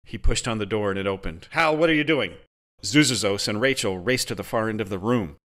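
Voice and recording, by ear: Reading aloud in a natural voice, with lively intonation over a quiet background.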